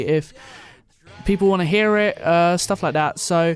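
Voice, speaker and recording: At a moderate pace, a man with an Essex accent speaks at a high pitch with ordinary pitch variation. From Essex, England. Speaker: podcast host, radio student. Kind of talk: casual solo podcast talk. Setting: solo recording into a mic.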